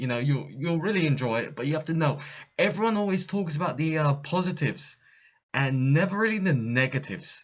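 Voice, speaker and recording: A man with a Cockney accent talks fairly quickly at a fairly high pitch. His voice is somewhat breathy, with ordinary pitch variation. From East London, England. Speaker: expat in Japan. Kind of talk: casual talk to camera. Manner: casual, hesitant with many fillers.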